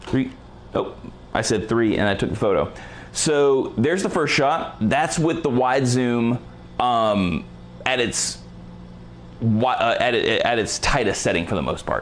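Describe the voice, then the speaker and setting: A man talks at a fairly slow pace with long, frequent pauses and ordinary pitch variation. His loudness stays very even over light background noise. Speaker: photography lighting presenter; presenter. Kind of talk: live tutorial. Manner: energetic. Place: studio.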